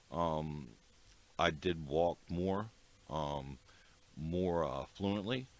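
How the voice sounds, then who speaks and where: A man's very deep, low voice with an American accent and ordinary pitch variation. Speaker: podcast host. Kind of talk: casual chat. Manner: hesitant, many fillers.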